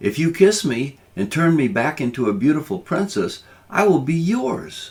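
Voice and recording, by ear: Put-on character voice at a moderate pace. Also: man, fairly high pitch for a man.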